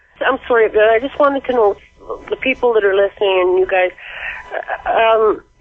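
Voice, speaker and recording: Noticeable background noise sits behind a woman speaking at a fairly high pitch with ordinary pitch variation. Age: 60s. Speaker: caller. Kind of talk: call-in radio chat. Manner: halting.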